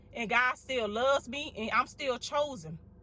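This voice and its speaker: A woman speaks loudly at a moderate pace in a Mississippi accent, her high voice animated. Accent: Southern US, from Mississippi. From US South, Mississippi. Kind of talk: sermon-style encouragement to viewers.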